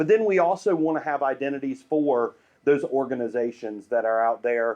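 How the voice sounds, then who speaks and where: With a Southern US accent, a man speaks at a fairly high pitch against a quiet background. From US South, Greenville, South Carolina. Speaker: urban planning and branding consultant. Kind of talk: public presentation.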